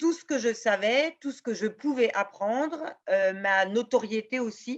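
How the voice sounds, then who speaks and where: A woman talks at a fairly slow pace, her pitch fairly high and its variation ordinary. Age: 60s. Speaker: law professor and gender equality advocate. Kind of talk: interview. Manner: hesitant, many fillers.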